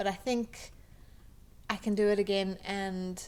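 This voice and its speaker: Her pitch sits in the middle range. The woman's intonation is monotone and flat. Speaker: webcomic artist. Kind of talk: casual talk over a speedpaint. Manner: slow, halting with many ums and pauses; slow.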